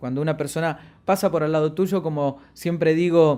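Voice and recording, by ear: A man speaks at a fairly slow pace with a fairly high pitch, a slightly mellow tone and fairly even intonation. The recording is very clean, with a silent background.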